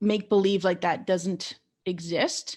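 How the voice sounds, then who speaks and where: Captured on a very clean recording with a silent background, a woman speaks at medium pitch with fairly even intonation. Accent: Canadian. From Canada, Ontario (small town south of Ottawa). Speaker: podcast host. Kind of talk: interview. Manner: halting.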